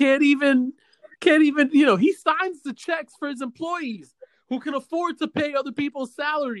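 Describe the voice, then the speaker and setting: The voice is loud and moves at a moderate pace. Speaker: podcast host. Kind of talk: casual chat. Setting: video call. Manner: loud, animated.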